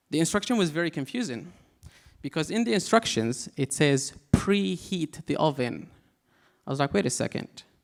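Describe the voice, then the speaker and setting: Speaking with an Arabic accent, a man uses a fairly high pitch and lively intonation. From Syria, Aleppo. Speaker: comedian. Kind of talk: stand-up. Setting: stage with audience.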